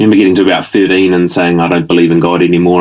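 A man speaks with a New Zealand accent and a very deep, low pitch. His intonation stays fairly even. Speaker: activist and former local government representative. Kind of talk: casual interview.

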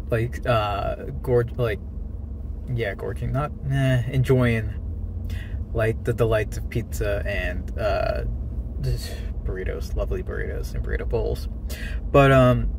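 Amid noticeable background noise, a man speaks at a fairly slow pace with long, frequent pauses in a dry sound with no echo. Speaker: daily vlogger. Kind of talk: casual vlog chat. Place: car. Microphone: phone near.

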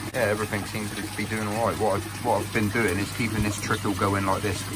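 A man talks at a very fast pace while loud background noise plays. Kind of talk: casual vlog chat. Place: garden. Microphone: phone near.

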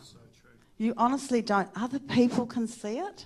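A woman speaks at a moderate pace with a warm tone and ordinary pitch variation. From New Zealand. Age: 60s. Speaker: interviewee. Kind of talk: onstage interview in a church service. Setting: church stage with microphone. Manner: warm, laughs often. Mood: reflective, earnest. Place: church. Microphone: handheld.

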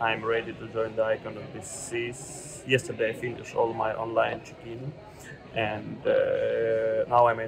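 Over noticeable background noise, a man speaks in a monotone with flat intonation. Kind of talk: casual vlog chat. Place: station. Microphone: earbuds.

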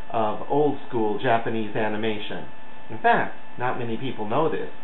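Light background noise and audible room echo surround a man as he speaks. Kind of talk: casual video message. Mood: playful, mock earnest. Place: home room. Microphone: webcam.

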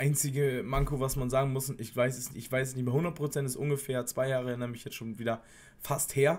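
A man talks at a fairly quick pace in a somewhat breathy voice with fairly even intonation. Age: 20s. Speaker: former soldier, YouTuber. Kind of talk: casual vlog monologue; casual vlog chat. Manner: casual, with frequent fillers. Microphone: earbuds.

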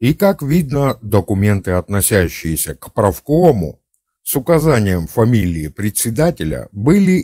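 A man talks at a fairly slow pace in a fairly low, dark, mellow voice with very wide pitch swings. The recording is very clean and dry, close with no echo, over a silent background. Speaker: amateur history video narrator. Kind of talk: scripted narration. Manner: formal.

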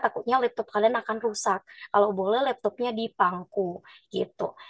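Here is a woman with an ordinary speaking voice, fairly high in pitch, with ordinary pitch variation at a moderate pace. The background is quiet and the sound is dry with no echo. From Nias, North Sumatra. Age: 20s. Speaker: university student liaison officer. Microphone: video call.

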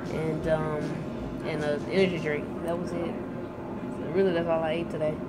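The voice moves at a fairly quick pace, with clear music in the background. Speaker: vlogger. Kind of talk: casual vlog chat. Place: shop. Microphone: phone near.

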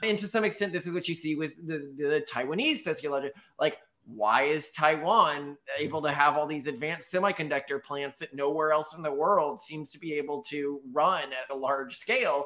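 Someone with an American accent and a bright, sharp tone speaks at a moderate pace with ordinary pitch variation. The loudness swings widely, and the background is quiet. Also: man. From Texas. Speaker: podcast co-host. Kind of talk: casual chat. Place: home room.

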